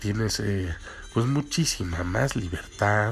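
Speaking at a very slow pace with a Mexican accent, the voice is heard over music in the background. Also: man. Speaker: podcast host. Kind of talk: casual monologue.

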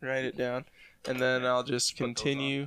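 A man with a medium pitch speaks at a moderate pace in a bright, sharp tone. The sound is dry and close with no echo. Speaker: musician friend, guest on podcast. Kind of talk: casual chat.

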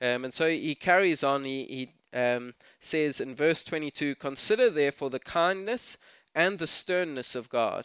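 On a very clean recording with a silent background and a dry, close sound with no echo, a man speaks at a fairly slow pace and fairly high pitch with lively intonation. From South Africa. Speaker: pastor. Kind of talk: sermon. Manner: casual, halting with fillers.

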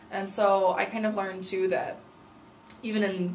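With an American accent and fairly even intonation, a woman speaks over noticeable background noise. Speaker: student teacher back from study abroad. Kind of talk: casual interview. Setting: studio. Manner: hesitant with many fillers.

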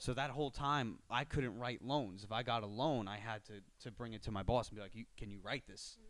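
Using an American accent, a man with an unremarkable speaking voice talks at a fairly quick pace and medium pitch. His pitch variation is ordinary, while his loudness swings widely. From Long Island, New York (Suffolk County). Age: 20s. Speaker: mortgage broker. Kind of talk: casual interview chat.

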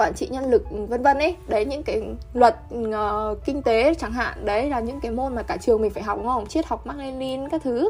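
At a moderate pace, a woman talks in a high pitch with an animated tone and ordinary pitch variation. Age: 20s. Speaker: university student. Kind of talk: casual chat.

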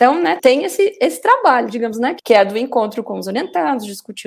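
Talking at a fairly quick pace, a woman with a fairly high pitch makes very wide pitch swings. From Paraná, southern Brazil. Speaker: communication professor. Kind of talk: interview.

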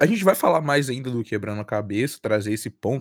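A man talks in a normal speaking voice with lively intonation. The sound is dry and close with no echo, a very clean recording over a silent background. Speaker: guest podcast host. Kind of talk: casual interview.

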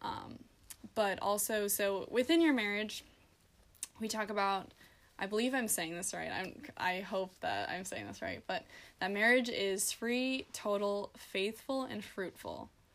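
At a fairly slow pace, a woman with an American accent uses an ordinary speaking voice, medium in pitch with ordinary variation. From US Midwest, South Dakota. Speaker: college student. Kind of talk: casual chat.

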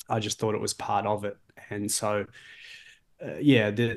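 A man with an Australian accent speaks at a moderate pace in a fairly low voice, with a quiet background. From Australia, Melbourne. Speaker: leadership coach and author. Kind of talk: interview. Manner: hesitant, many fillers and repeats.

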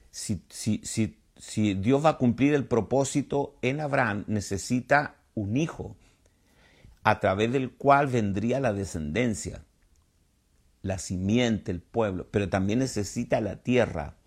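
A man with a medium pitch speaks at a very slow pace, with lively intonation. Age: 70s. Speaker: pastor and Bible teacher. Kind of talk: sermon-style Bible teaching. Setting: online livestream.

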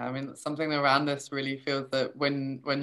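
This is a woman speaking. Her voice is very deep and low in pitch. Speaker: podcast host, holistic coach. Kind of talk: casual interview. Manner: laughs often.

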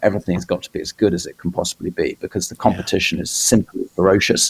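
Speaking fairly quickly, a man talks in a British accent. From Britain. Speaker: publisher. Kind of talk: casual chat. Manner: halting, many fillers.

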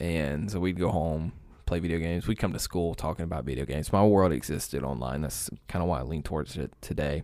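In a very clean recording with a silent background, a man with an American accent talks at a very fast pace in a very deep, low voice with a dark, mellow tone, vocal fry and ordinary pitch variation. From East Alabama, US South. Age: 20s. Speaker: online pastor. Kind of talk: casual chat.

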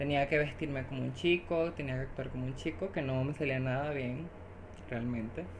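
A woman's very deep, low voice with ordinary pitch variation at a moderate pace, with audible room echo. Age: 20s. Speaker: social communicator. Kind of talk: interview.

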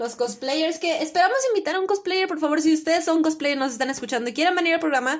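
Very fast and loud, a woman with a Mexican accent speaks at an extremely high pitch with lively intonation. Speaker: podcast co-host. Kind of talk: casual chat.

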